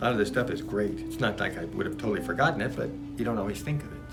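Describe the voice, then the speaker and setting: A man is speaking. Music plays in the background. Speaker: author reading his own book. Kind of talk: casual spiritual book reading with commentary.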